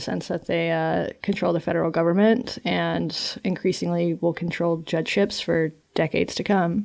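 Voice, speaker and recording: A woman with an American accent speaks in an ordinary speaking voice at medium pitch. Her moderate pace comes through on a very clean recording with a silent background. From North Carolina. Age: 30s. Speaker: journalist and podcaster. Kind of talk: interview conversation.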